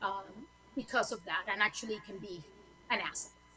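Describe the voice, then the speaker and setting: A woman speaks with a Spanish accent. Her pitch varies normally, with music in the background. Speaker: lawyer. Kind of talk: panel talk.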